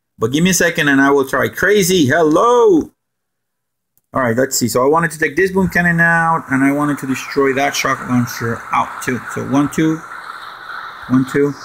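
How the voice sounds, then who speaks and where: A man in a Spanish accent talks at a moderate pace with a fairly high pitch and ordinary pitch variation. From Puerto Rico. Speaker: gaming streamer. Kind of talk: live stream gameplay commentary. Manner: animated.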